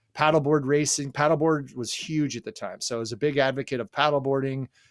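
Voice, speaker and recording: A man with an American accent talks at a very fast pace, fairly high in pitch, with fairly even intonation. The sound is dry and close with no echo, in a very clean recording with a silent background. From Southern California. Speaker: fishing podcast guest, former event announcer. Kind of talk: casual chat.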